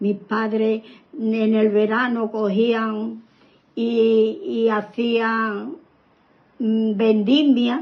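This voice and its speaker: The speaker talks at a very slow pace with long, frequent pauses. Intonation stays fairly even. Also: woman, fairly high pitch for a woman. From southern Spain, Málaga province. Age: 80s+. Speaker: grandmother interviewed about her childhood. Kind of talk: oral history interview. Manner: halting, with repetitions.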